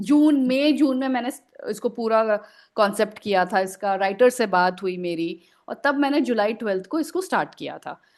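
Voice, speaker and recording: A woman with an ordinary speaking voice and a fairly high pitch uses lively intonation against a quiet background. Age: 40s. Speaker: writer and editor. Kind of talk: podcast interview answer.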